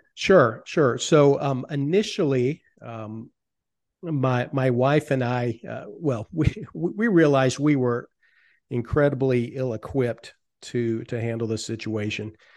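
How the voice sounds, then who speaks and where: A man with an ordinary speaking voice talks at a fairly slow pace. His pitch is medium. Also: ordinary pitch variation, quiet background. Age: 50s. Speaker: financial advisor. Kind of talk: interview.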